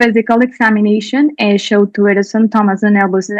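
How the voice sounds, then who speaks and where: Dry and close with no echo, a woman's fairly high voice moves at a moderate pace with fairly even intonation. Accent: Spanish. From Colombia. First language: Spanish. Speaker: doctor presenting a clinical case. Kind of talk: conference presentation.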